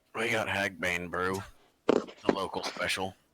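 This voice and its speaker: A man puts on a gravelly, gruff character voice at a very deep, low pitch. His intonation stays monotone and flat. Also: fairly slow pace. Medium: actual play. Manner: curt.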